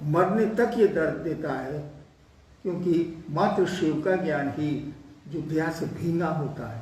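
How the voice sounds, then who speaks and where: Ordinary pitch variation with audible room echo and noticeable background noise. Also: man, high pitch for a man. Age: 70s. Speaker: spiritual teacher. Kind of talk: spiritual discourse answering a question.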